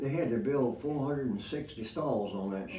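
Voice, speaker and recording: Delivered at a fairly quick pace with ordinary pitch variation, the voice carries audible room echo and light background noise. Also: man. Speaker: WW2 Navy veteran. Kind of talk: interview answer. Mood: reminiscing, calm storytelling. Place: studio.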